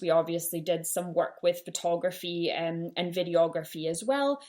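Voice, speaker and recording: This woman talks at a moderate pace in a fairly low pitch, with ordinary pitch variation. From Canada, Winnipeg. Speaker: podcast host, small business owner. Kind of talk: solo podcast monologue. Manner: casual, frequent ums.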